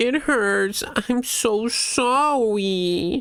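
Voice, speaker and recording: A whiny, put-on character voice sits at a fairly high pitch. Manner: whiny, pleading.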